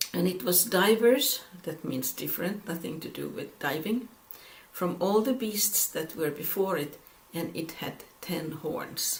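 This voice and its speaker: The speaker has a non-native accent. There is noticeable noise in the background. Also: fairly slow pace. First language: not English. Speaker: Bible teacher. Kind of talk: Bible study lecture with scripture reading. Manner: halting.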